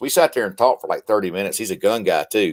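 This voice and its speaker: A man with a Southern accent. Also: dry, close sound with no echo. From US South, Mississippi. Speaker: military veteran and combat medic. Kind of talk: casual chat.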